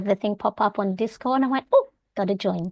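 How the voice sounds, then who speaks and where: Recorded in a dry, close sound with no echo against a quiet background, a woman speaks. Her pitch is medium and she has an Australian accent. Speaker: homeschooling parent and planner content creator. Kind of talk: online meeting introduction.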